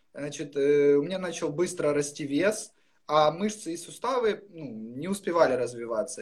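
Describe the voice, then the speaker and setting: A man with an unremarkable speaking voice, fairly high in pitch, at a fairly slow pace. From Ukraine, Luhansk region. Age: 20s. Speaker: interviewee sharing recovery story. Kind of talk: personal testimony.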